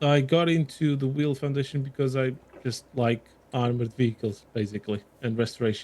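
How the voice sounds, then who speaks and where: Here a man with a slight Portuguese accent speaks at a medium pitch in a dark, mellow tone, his intonation fairly even. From Portugal. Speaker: armoured vehicle restoration volunteer. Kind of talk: podcast interview.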